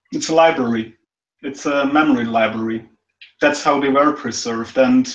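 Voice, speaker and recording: Spoken with a non-native accent, the delivery is fairly quick. The intonation stays fairly even. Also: man. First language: not English. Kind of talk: casual chat.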